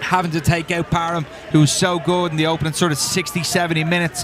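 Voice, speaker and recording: Against noticeable background noise, a man with an Irish accent rattles along at a very fast pace in a high pitch with monotone, flat intonation. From Ireland. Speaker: soccer color commentator. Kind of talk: live commentary.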